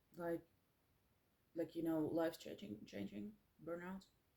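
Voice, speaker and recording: With a Finnish accent, a woman speaks in a dark, mellow tone at a fairly low pitch with very wide pitch swings. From Finland. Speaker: musician and artist, former psychiatric nurse. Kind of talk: personal vlog monologue. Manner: halting, many fillers.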